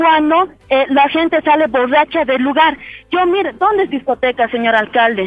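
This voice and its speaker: Moderate pace over noticeable background noise. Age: 30s. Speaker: business owner. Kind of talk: complaint to the mayor.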